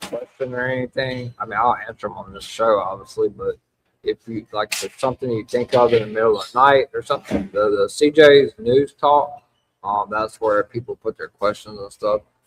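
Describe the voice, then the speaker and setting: A man with a Louisiana accent at a fairly quick pace, his loudness swinging widely, in a dry, close sound with no echo. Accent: Louisiana Southern US. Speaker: wrestling podcast host. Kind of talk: live podcast recap chat. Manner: casual, halting with fillers.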